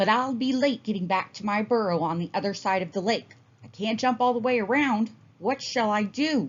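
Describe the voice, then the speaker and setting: A female-sounding voice puts on a character voice at a fairly high pitch. The pace is moderate. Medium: read story. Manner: polite, proper.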